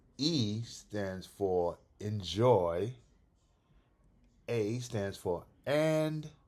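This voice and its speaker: A man's fairly low voice with lively intonation, a very slow pace and long, frequent pauses, in a very clean recording with a silent background. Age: 60s. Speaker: comic collector YouTuber. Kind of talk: casual vlog talk. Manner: casual, repetitive with false starts.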